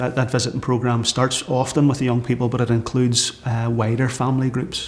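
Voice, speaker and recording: Over noticeable background noise, a man with a Northern Irish accent speaks at a fairly quick pace, his medium-pitched voice fairly even in intonation. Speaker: church minister leading community project. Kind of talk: documentary interview. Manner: hesitant, many fillers.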